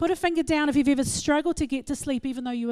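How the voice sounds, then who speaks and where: A woman speaks in an animated tone on a very clean recording with a silent background. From England. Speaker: psychologist and speaker, guest speaker at a church. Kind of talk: church talk on mental wellbeing. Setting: church with audience. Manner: animated, fast.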